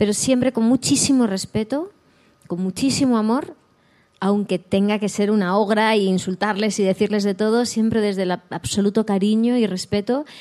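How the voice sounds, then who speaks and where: A woman with a dark, mellow tone speaks at a moderate pace and with fairly even intonation. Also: fairly high pitch for a woman, very even loudness. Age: 40s. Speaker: actress. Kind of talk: interview on a live talk show. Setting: stage with live audience.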